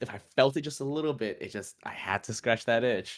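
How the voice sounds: A man talks at a fairly quick pace with a raspy, medium-pitched voice and ordinary pitch variation. The recording is very clean, with a silent background.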